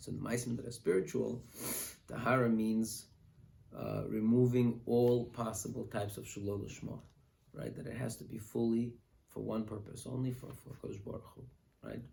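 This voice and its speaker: This man has a dark, mellow, somewhat breathy tone, fairly even intonation, and a moderate pace broken by long, frequent pauses. His loudness swings widely, and the room adds audible echo. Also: medium pitch for a man. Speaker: rabbi teaching a class. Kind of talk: lecture. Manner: halting.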